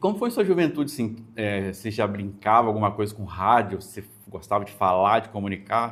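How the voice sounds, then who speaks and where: A man speaks at a fairly quick pace in a fairly low pitch with ordinary pitch variation and big swings in loudness. It is an unremarkable speaking voice. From Brazil, northwest Rio de Janeiro state. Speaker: podcast host. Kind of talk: interview podcast.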